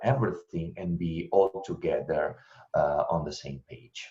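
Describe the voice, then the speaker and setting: A man speaks in an Italian accent. His tone is dark and mellow. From Italy. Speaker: intercultural trainer and researcher. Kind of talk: webinar presentation answering questions.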